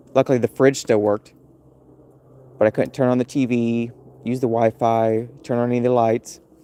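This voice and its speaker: American accent with a dark, mellow tone, monotone, flat intonation, a fairly quick pace, and long, frequent pauses. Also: man, medium pitch for a man, dry, close sound with no echo. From US Midwest, Missouri near St Louis. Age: 30s. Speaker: livestreamer. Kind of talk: casual live stream chat.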